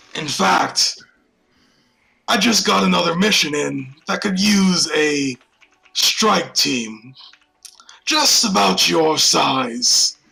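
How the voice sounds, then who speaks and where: A man uses a put-on character voice at a fairly high pitch with very wide pitch swings. He goes at a very slow pace, with long, frequent pauses. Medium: actual play. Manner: commanding, curt.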